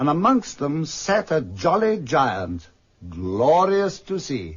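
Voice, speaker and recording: Somewhat breathy and very slow, a man with a fairly high voice speaks with very wide pitch swings. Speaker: actor playing the storyteller and Scrooge, reading Dickens narration. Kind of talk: vintage radio drama narration. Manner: narrative storytelling.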